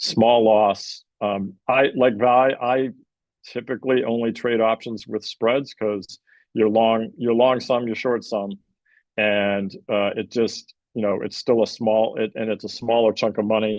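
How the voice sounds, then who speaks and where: Flat and monotone, a man speaks at a medium pitch and a fairly slow pace. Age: 60s. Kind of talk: market analysis panel talk. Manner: halting, many fillers.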